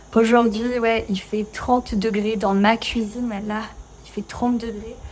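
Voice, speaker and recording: In a monotone, flat intonation, a woman speaks at a fairly high pitch. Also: fairly slow pace. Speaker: French teacher. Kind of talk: casual talk to camera while cooking. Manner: natural pace, conversational, many fillers.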